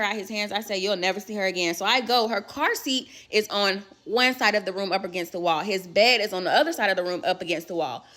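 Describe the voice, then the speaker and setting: Against noticeable background noise, a woman with a medium-pitched voice talks at a fairly quick pace in an animated tone with ordinary pitch variation. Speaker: storyteller. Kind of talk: storytime. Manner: loud.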